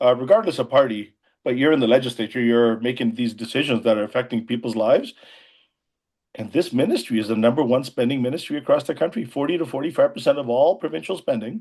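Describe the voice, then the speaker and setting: This man talks at a very fast pace in a medium pitch. His pitch varies in an ordinary way. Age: 60s. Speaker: emergency physician and former politician. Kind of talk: interview.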